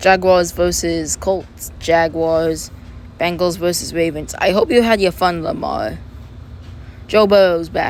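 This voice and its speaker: Noticeable background noise behind a fairly slow-paced woman. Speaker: sports fan vlogger. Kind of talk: casual video commentary.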